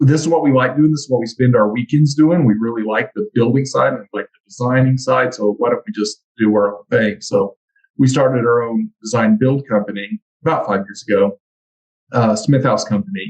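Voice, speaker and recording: A man with a Texan accent talks fairly quickly at a medium pitch, somewhat breathy, with lively intonation and big swings in loudness, in a dry, close sound with no echo. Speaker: construction trades educator. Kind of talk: casual interview.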